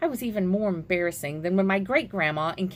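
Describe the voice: Text is read aloud plainly. Ordinary shifts in pitch run through it.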